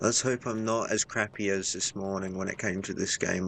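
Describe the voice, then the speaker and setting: Music plays in the background as a man speaks. His pitch is fairly low and his intonation monotone and flat. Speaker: gaming streamer. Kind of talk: live gameplay commentary. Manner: soft-spoken.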